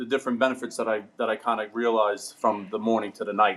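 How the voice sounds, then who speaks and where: A man with a New York accent and a medium pitch talks at a fairly quick pace with fairly even intonation. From New York, Brooklyn. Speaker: ironworker. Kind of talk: casual chat. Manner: halting.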